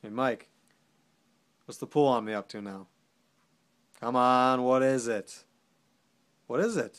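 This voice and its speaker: Against a quiet background, a man talks at a fairly slow pace. His pitch varies in an ordinary way while his loudness swings a lot. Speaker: actor performing a soldier character. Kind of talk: dramatic monologue. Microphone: phone near.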